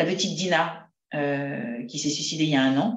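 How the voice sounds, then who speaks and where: A woman's voice is heard with audible room echo. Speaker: psychotherapist speaking on school bullying. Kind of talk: talk to parents. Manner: fast.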